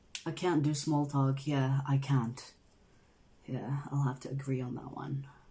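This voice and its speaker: In a room with audible echo, a woman speaks at a fairly slow pace in a very deep, low voice. Her tone is dark, mellow and somewhat breathy, with flat, monotone intonation. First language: not English. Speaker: tarot reader, channel host. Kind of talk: casual livestream chat, reading viewer comments. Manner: casual, filler-heavy.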